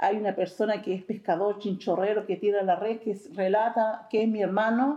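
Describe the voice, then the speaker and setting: Moderately paced with hardly any pauses, a plain, everyday voice carries fairly even intonation. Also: woman, medium pitch for a woman. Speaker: Afro-Chilean community member. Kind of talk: testimony.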